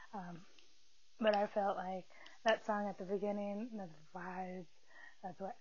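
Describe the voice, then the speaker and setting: Somewhat breathy, a woman with an American accent speaks with fairly even intonation amid audible room echo. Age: 20s. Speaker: podcast host. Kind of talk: casual chat. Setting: in bed.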